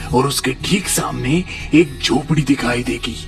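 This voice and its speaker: A cartoonish character voice at a very slow pace, with clear music in the background. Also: man. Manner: earnest, instructive.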